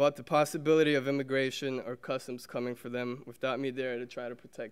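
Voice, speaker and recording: Here a man speaks at a medium pitch. His pace is fairly quick. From Brazil, raised in Somerville, Massachusetts. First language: Portuguese. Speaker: alumnus speaker, teacher. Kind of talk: prepared speech.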